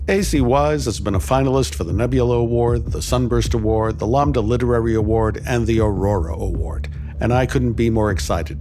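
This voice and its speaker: Very deep, low pitch from a man with a warm, upbeat tone, very wide pitch swings and a fairly quick pace, over noticeable background noise. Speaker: podcast host. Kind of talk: scripted introduction. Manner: warm, upbeat, lightly humorous.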